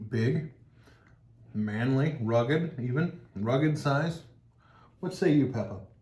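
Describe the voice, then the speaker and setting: Very slowly and with long, frequent pauses, a man speaks in a somewhat breathy, dark, mellow tone with ordinary pitch variation, and audible room echo around him. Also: medium pitch for a man. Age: 40s. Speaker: cheese tasting channel host. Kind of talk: casual chat.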